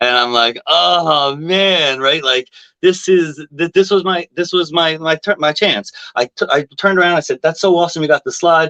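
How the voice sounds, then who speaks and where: A man with a Long Island accent speaks in a high voice with a bright, sharp tone and ordinary pitch variation. His moderate pace comes through in a dry, close sound with no echo. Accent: New York, Long Island. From New York, Long Island. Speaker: music fan. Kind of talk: casual chat. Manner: loud.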